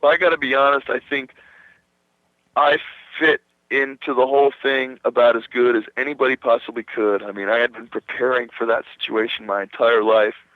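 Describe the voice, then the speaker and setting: This man speaks with a New Jersey accent at a fairly quick pace. His pitch sits in the medium range. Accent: New Jersey American. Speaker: rock guitarist. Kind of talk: radio interview. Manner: animated.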